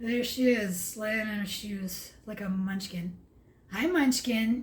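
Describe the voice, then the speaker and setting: In a room with audible echo, a woman speaks very slowly at a fairly high pitch with ordinary pitch variation. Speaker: vlogger. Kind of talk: casual vlog monologue. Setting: at home, late at night. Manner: halting, with stumbles and fillers.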